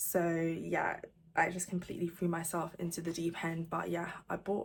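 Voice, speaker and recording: A woman with an ordinary speaking voice talks at a fairly slow pace. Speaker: crochet vlogger and pattern designer. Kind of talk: casual vlog talking to camera.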